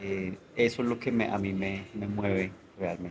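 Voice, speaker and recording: A man speaks at a fairly slow pace. Behind him, music is playing. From Colombia, Bogotá. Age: 40s. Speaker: novelist. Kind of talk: interview conversation. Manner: hesitant, many fillers.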